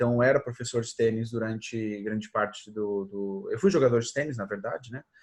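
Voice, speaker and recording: At a fairly quick pace with hardly any pauses, a man speaks at a medium pitch with ordinary pitch variation. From Portugal. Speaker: social media advertising expert. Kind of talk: interview.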